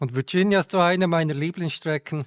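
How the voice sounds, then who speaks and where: Speaking fairly quickly with a Swiss German accent, a man uses ordinary pitch variation in a dry, close recording with no echo. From Switzerland. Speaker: sim racing streamer. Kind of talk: live stream commentary. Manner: halting, with fillers.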